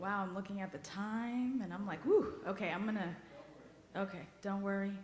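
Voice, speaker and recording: A woman with a medium pitch and fairly even intonation at a moderate pace, with long, frequent pauses, audible room echo and noticeable background noise. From US-born child of Haitian immigrants. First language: Haitian Creole. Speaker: guest worship leader. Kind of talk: personal talk in a worship service. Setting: church service. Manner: conversational, emotional.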